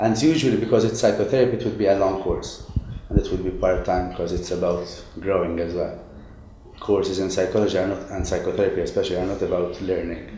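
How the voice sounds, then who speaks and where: A man at a very fast pace, with audible room echo. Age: 20s. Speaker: psychotherapist in training. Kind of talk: interview.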